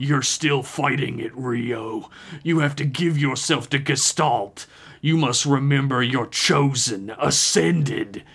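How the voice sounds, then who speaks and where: At a fairly slow pace, a man puts on a character voice with a medium pitch. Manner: menacing, commanding.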